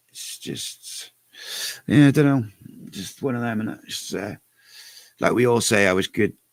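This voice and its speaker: A quiet man with a Cardiff accent and a fairly low pitch, at a fairly slow pace with long, frequent pauses, big swings in loudness and a dry, close sound with no echo. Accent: Welsh, Cardiff. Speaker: fan channel live show host. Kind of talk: casual live stream chat.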